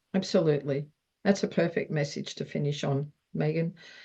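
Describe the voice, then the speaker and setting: A woman with an Australian accent speaks at a moderate pace in a very deep, low pitch, somewhat breathy, with ordinary pitch variation. Her tone is dark and mellow, against a quiet background. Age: 70s. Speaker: wellness interview host. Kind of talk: interview.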